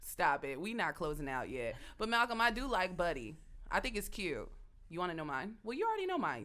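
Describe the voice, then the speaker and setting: A woman with an American accent at a very fast pace, bright and sharp in tone, animated, with very wide pitch swings and vocal fry. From South Florida (Broward), Jamaican family. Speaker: podcast co-host. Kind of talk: casual chat.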